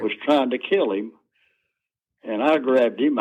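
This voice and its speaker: This man has an American accent. His voice swings very widely in pitch. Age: 80s+. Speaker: war veteran, retired prison guard. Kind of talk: interview answer.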